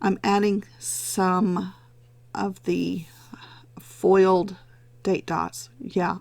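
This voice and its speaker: A woman puts on a raspy character voice at medium pitch. She speaks at a very slow pace with long, frequent pauses. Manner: talking slowly.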